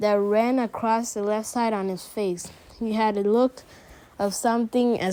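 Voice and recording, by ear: The intonation is fairly even. It is reading aloud in a natural voice.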